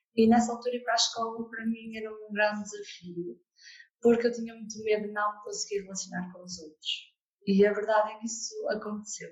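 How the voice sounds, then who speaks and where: A woman's fairly high, somewhat breathy voice at a fairly quick pace, monotone and flat, with big swings in loudness. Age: 20s. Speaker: therapist and coach. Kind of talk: interview testimony.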